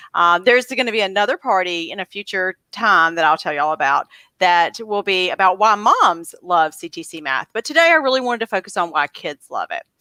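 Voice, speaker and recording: A woman's medium-pitched voice in a Southern US accent, bright and sharp in tone, at a fairly quick pace with hardly any pauses. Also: lively intonation, dry, close sound with no echo. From US South, coastal North Carolina. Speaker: homeschool channel host. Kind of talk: casual interview.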